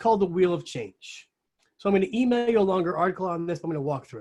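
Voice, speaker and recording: Very fast delivery from a man, high-pitched, with ordinary pitch variation. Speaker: organization development coach. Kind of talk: webinar presentation. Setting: webinar.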